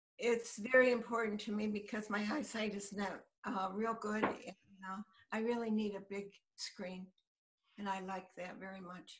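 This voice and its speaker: A woman speaks at a medium pitch in a monotone, flat intonation. Her pace is moderate, with big swings in loudness. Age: 80s+. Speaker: interviewee. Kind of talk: interview answer. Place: home room. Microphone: video call.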